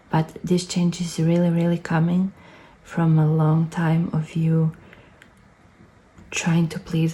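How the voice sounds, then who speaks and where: The voice has a non-native accent. It moves at a very slow pace. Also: woman. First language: not English. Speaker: tarot reader. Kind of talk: pick-a-card tarot reading. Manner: halting.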